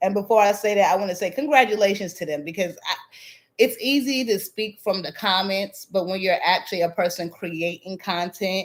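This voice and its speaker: A woman with an American accent speaks at a fairly quick pace, her medium pitch showing ordinary variation. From Southern Virginia. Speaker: YouTube drama commentator. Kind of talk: live stream chat, reading comments. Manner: casual, with filler words.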